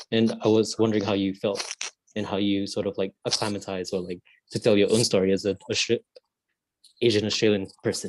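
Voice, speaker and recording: This man's voice sits fairly low, with a monotone, flat intonation. He moves at a fairly quick pace but leaves long, frequent pauses, in a dry, close sound with no echo. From Malaysia. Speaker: acting student. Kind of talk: audience question.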